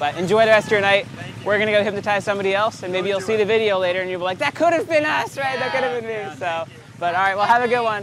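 Faint music sits in the background as a man speaks at a very fast pace. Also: dry sound with no echo. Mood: friendly, upbeat, laughing. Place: street.

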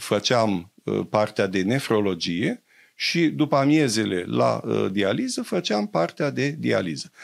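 A man talks at a very slow pace over a quiet background. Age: 70s. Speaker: doctor; interview guest. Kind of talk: interview. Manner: hesitant, many fillers. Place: studio. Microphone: studio mic.

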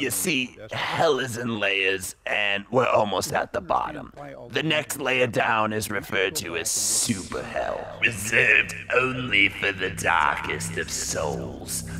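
A man puts on a character voice at medium pitch, going at a fairly slow pace with hardly any pauses over clear background noise. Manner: sardonic, rambling, profane.

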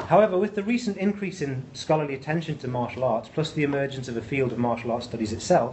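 A man's voice at a fairly quick pace with ordinary pitch variation and light background noise. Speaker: presenter. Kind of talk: lecture. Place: classroom.

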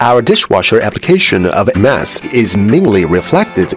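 A man, dry sound with no echo, clear music in the background. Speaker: factory manufacturing design supervisor. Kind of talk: interview answer. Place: factory.

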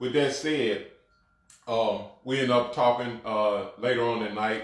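In a Mississippi accent, a man speaks at a fairly slow pace. His pitch varies in an ordinary way. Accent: Southern US, Mississippi. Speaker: apostle, co-host. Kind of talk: religious talk show, testimony. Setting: livestreamed virtual broadcast. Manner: repetitive stammering.

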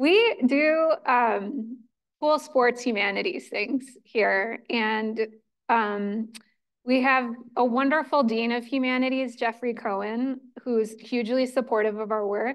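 A woman speaks at a very slow pace in a high pitch with ordinary pitch variation. The background is quiet. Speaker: event host. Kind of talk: event introduction speech. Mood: warm, grateful, cheerful. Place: hall. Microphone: handheld.

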